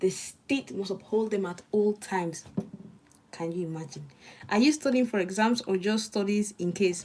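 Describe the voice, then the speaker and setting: A woman with a slight Nigerian accent speaks with lively intonation. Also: medium pitch for a woman, moderate pace. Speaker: law student streamer. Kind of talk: study stream with chat reading. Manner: casual, chatty.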